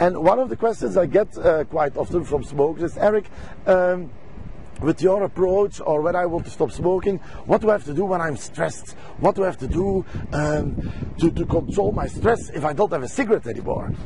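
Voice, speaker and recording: Over noticeable background noise, a man with a Belgian accent talks at a fairly quick pace in a high pitch with ordinary pitch variation. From Belgium. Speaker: stop smoking coach. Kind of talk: sales pitch. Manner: halting.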